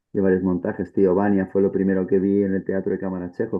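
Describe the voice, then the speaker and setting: A man speaks in a very deep, low pitch. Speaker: stage actor. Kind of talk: panel discussion.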